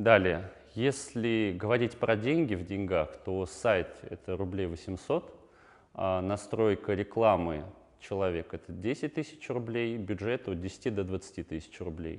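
Against a quiet background, a man talks at a very slow pace with a fairly low voice and ordinary pitch variation. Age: 20s. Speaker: online entrepreneur; guest. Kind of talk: talking-head interview answers. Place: studio. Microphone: lapel.

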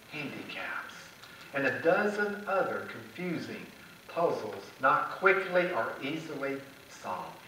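A man's raised, projected voice at a fairly slow pace, with very wide pitch swings and audible room echo. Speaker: preacher. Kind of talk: church sermon. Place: church.

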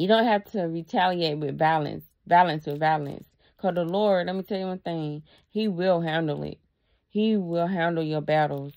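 Against a quiet background, a woman speaks at a moderate pace with a fairly low pitch and fairly even intonation. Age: 30s. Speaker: YouTuber. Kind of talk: casual vlog monologue. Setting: at her dad's house. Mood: earnest, reflective. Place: home room. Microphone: phone near.

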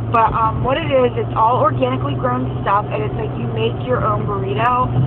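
Noticeable background noise sits under a woman speaking at a moderate pace, the sound dry with no echo. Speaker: vlogger. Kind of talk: casual vlog chat. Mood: relaxed, chatty. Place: car. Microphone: phone near.

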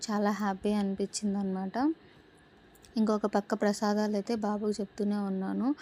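In a dry, close recording with no echo, a woman speaks at medium pitch in a dark, mellow tone with monotone, flat intonation. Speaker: vlogger and working mother. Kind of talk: voice-over vlog narration. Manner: sometimes dull-sounding.

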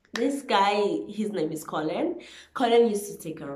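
A woman's voice is heard with audible room echo around it. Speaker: vlogger. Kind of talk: casual vlog chat. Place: home room. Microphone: phone near.

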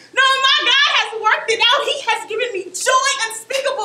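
A woman with an American accent speaks in a raised, projected voice, with audible room echo and light background noise. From Oakland, California. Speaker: spoken word poet and performer. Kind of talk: spoken word poetry performance. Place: stage. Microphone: camera far.

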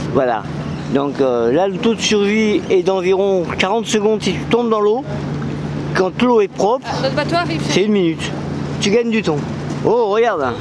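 At a fairly slow pace with long, frequent pauses, the speech has a dry sound with no echo and noticeable background noise. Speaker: traveller vlogger. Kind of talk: casual vlog chat. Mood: amused, joking. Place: boat. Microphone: phone near.

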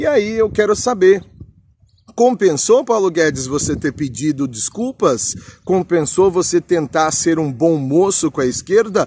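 A man with a Brazilian accent speaks at a high pitch and a fairly slow pace, his tone animated and his pitch swinging very widely. The sound is dry with no echo, over light background noise. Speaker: political vlogger. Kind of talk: angry political rant. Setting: home studio abroad, Chile. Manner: indignant, sarcastic, scornful; animated, insulting, fervent. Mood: indignant, rhetorical. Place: garden. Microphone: phone near.

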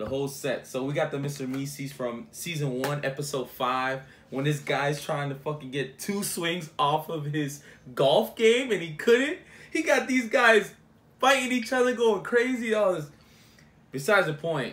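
Very wide pitch swings from a man at a moderate pace. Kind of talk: casual vlog chat. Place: home room. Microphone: phone near.

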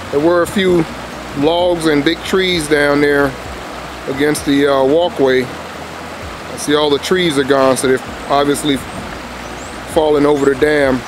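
Long, frequent pauses break up this man's fairly even delivery, recorded dry with no echo over noticeable background noise. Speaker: fishing channel host. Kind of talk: casual vlog commentary. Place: waterside. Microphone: phone near.

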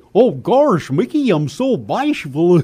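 Using a put-on character voice, a man speaks fairly slowly at a high pitch with very wide pitch swings. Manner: bashful.

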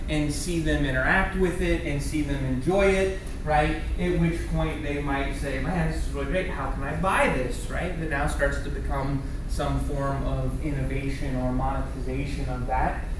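A man's moderately paced speech comes through noticeable background noise, with room echo clearly audible. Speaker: keynote speaker. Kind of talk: lecture. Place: classroom. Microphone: camera far.

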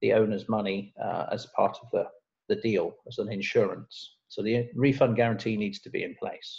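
The background is quiet as a man speaks at a moderate pace. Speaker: presenter. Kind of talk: lecture. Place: home room. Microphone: webcam.

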